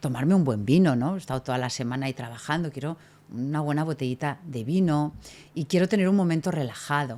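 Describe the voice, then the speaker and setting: A woman with a very deep, low voice and ordinary pitch variation speaks on a very clean recording with a silent background. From Catalonia, Spain (Tarragona). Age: 50s. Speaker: hospitality consultant. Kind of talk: podcast interview. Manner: animated.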